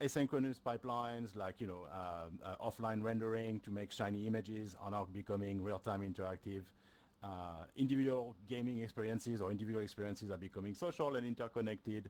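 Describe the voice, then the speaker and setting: A French accent at a fairly quick pace. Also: man. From France. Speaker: solution engineer. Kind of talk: tech presentation. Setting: stage with audience. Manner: frequent fillers, hesitant.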